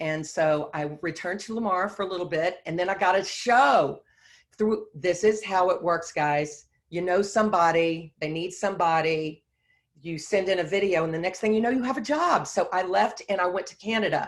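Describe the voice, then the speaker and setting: In a Texan accent, a woman speaks at a moderate pace and medium pitch with ordinary pitch variation. The recording is very clean, with a silent background. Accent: Texan (US South). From Texas (Beaumont). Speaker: Broadway choreographer and dancer. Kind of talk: guest talk, personal career story.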